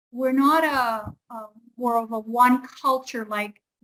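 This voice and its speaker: A woman with a Canadian accent speaks at a high pitch. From Canada. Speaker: English teacher. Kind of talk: online lesson conversation.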